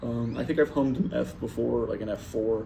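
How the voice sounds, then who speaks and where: Audible room echo surrounds the man as he talks. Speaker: saxophone player vlogging practice. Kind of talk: casual solo vlog talk. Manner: halting, many fillers.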